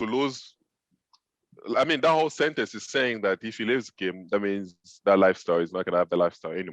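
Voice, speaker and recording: Over a quiet background and with a dry, close sound with no echo, a man with a French accent speaks at a very fast pace with lively intonation, broken by long, frequent pauses. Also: fairly low pitch for a man. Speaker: film director and web series co-host. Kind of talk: casual script-writing session.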